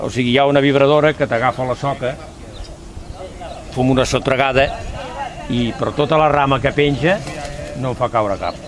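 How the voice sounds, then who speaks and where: Noticeable background noise sits behind a man with a medium pitch and fairly even intonation. He leaves long, frequent pauses. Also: moderate pace. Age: 70s. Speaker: olive farmer. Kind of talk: interview.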